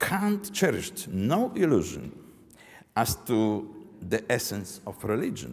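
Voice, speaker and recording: A man talks with a Polish accent. His pace is fairly slow. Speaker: professor. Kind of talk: lecture read from text. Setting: academic forum. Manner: halting, reading aloud.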